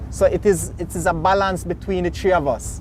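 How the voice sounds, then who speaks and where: Over noticeable background noise, a man talks with a Jamaican accent. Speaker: boat captain and tour operator. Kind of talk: interview answer.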